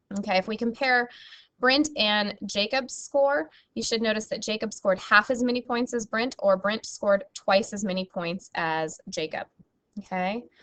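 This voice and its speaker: Her unremarkable speaking voice sits at a fairly high pitch, and the woman talks at a moderate pace with ordinary pitch variation. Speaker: math teacher. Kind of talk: recorded lesson.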